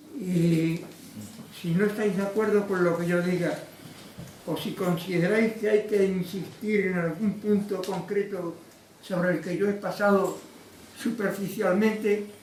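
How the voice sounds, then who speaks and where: A man talks at a fairly slow pace in a high pitch, monotone and flat, with long, frequent pauses. Audible room echo and noticeable background noise fill the recording. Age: 90s. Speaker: lecturer, former trade unionist. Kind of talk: lecture.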